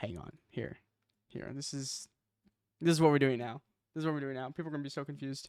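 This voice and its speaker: A man speaks at a fairly quick pace with long, frequent pauses, big swings in loudness and fairly even intonation, in a dry, close sound with no echo. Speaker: streamer. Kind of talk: casual chat. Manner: casual, slangy.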